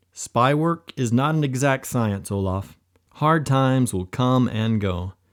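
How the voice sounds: A natural reading voice comes through. The background is quiet.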